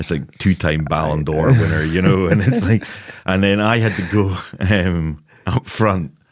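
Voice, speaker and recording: Over noticeable background noise, a man with a very deep, low voice speaks at a fairly slow pace with ordinary pitch variation. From Scotland, Lossiemouth, Moray. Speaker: football scout and goalkeeping coach. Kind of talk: podcast interview.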